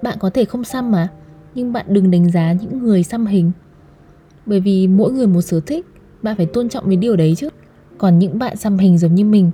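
A woman speaks at a fairly quick pace with long, frequent pauses, her medium-pitched voice showing ordinary pitch variation. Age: 20s. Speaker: podcast host. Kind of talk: personal monologue.

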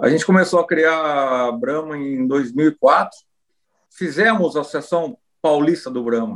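A man with a fairly high pitch talks at a fairly slow pace in a normal speaking voice. His pitch varies in an ordinary way over a quiet background. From Brazil, Rio Claro, interior of São Paulo state. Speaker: cattle breeders' association president and rancher. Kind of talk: interview.

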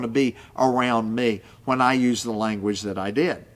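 An Appalachian accent on a very clean recording with a silent background. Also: man. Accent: Appalachian American. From West Virginia coal fields. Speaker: pastor. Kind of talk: podcast teaching monologue.

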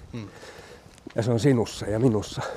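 Medium-pitched male voice at a moderate pace, fairly even in intonation, with noticeable background noise. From Finland, Loviisa. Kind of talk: walking interview. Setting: outdoors, walking.

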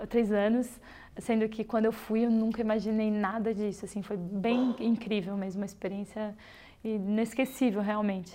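A woman speaks at a moderate pace in a fairly high pitch, her tone dark and mellow and her intonation flat and monotone. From southern Brazil, Rio Grande do Sul. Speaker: traveller and volunteer filmmaker. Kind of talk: interview conversation.

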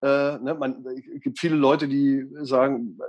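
A man speaks at a fairly high pitch. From Lower Saxony, Göttingen. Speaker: radio and TV presenter, mediator. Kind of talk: interview. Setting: video call.

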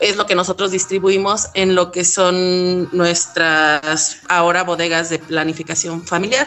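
Noticeable background noise surrounds a woman of medium pitch. She talks at a fairly slow pace with fairly even intonation. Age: 40s. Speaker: accountant at a youth nonprofit. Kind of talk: interview.

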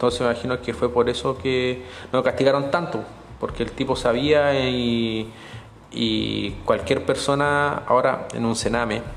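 A man with a Chilean accent, fairly slow in pace and fairly even in intonation. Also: medium pitch for a man. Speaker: podcaster. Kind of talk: storytelling monologue.

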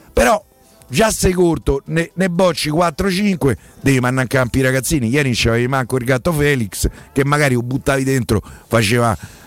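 A man at a fairly quick pace, with lively intonation, very even loudness and a dry, close sound with no echo. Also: medium pitch for a man. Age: 60s. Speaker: sports journalist. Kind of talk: radio phone-in discussion.

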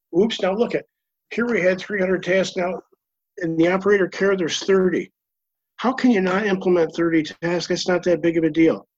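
A man with a high voice speaks at a moderate pace with fairly even intonation. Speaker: reliability consultant. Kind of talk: panel discussion, live webinar Q&A. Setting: video call webinar.

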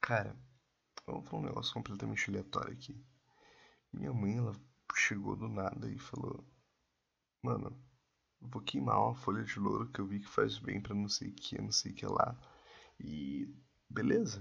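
Long, frequent pauses break up a man's moderate-paced speech. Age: 20s. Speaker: podcaster, information systems student. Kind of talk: casual solo podcast monologue.

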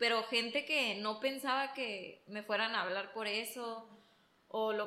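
A woman speaks in an unremarkable speaking voice. Her pitch sits fairly high, and her intonation stays fairly even. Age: 20s. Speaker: interior designer. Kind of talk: casual chat.

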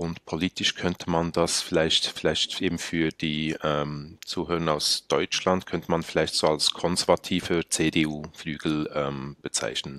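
Flat and monotone, a man with a very deep, low pitch has a bright, sharp tone in a dry, close sound with no echo. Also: hardly any pauses. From Mongolia, Swiss family; in Switzerland from age 16. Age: 30s. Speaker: cantonal politician. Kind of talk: interview conversation.

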